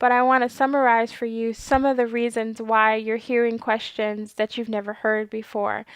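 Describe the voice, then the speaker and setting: Soft-spoken and fairly high-pitched, a woman talks at a moderate pace over a quiet background. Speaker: clinical research trainer and video host. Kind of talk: informational talk to camera.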